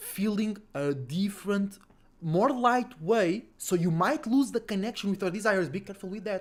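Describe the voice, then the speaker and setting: In a non-native accent, a man with a high pitch speaks in an animated tone at a fairly slow pace. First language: not English. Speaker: astrology livestreamer. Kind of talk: casual livestream talk. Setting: livestream, home. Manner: animated, repetitive.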